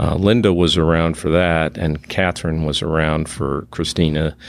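A man speaks at a moderate pace with an American accent. His pitch is very deep and low, and his intonation is fairly even. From Massachusetts, south of Boston. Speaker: father of a daughter with addiction, retired oil geologist. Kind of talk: interview testimony. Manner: halting, many fillers.

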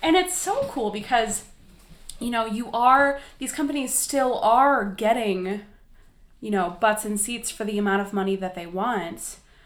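Fairly high in pitch, a woman with an American accent and an ordinary speaking voice talks with lively intonation. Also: fairly slow pace. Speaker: podcast co-host. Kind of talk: casual chat.

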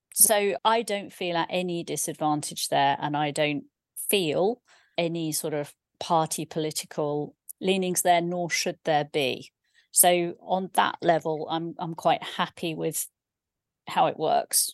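A woman's fairly low-pitched, normal speaking voice, fairly slow, with ordinary pitch variation and a dry, close sound with no echo

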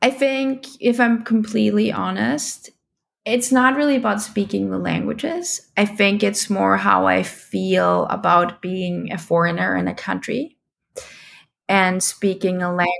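A woman with a German accent at a fairly slow pace. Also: very clean recording, silent background. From Austria (Vienna). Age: 30s. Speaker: parent of bilingual child. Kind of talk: interview.

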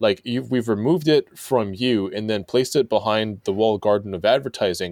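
A man with an ordinary speaking voice at medium pitch, ordinary pitch variation, a fairly quick pace and a dry, close sound with no echo. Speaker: magazine editor and writer. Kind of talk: casual discussion.

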